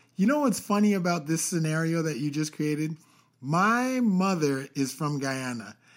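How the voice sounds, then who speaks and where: The background is silent, and the recording very clean. An unremarkable speaking voice keeps a moderate speed with lively intonation. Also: man, fairly high pitch for a man. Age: young. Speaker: podcast co-host. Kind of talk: casual chat.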